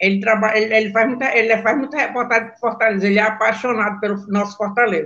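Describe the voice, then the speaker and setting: A woman with a fairly high voice talks at a very fast pace with hardly any pauses. Her intonation stays fairly even while her loudness swings widely. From Brazil, Belém do Pará. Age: 70s. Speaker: former women's football player. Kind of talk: interview on live stream.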